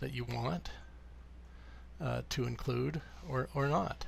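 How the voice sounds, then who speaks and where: A man is speaking. His pace is very slow. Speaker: software developer demonstrating his product. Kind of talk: software tutorial screen demo. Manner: hesitant, many fillers.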